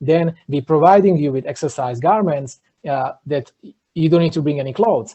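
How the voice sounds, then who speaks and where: Somewhat breathy male voice with an Eastern European accent, fairly high in pitch, at a moderate pace with ordinary pitch variation. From Slovakia. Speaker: entrepreneur. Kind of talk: podcast interview.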